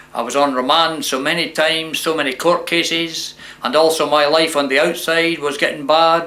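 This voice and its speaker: A man's fairly high, monotone voice with a southern Scottish accent at a moderate pace, amid noticeable background noise and audible room echo. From Scotland, Dumfries. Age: 60s. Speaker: former prisoner sharing life story. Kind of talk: testimony.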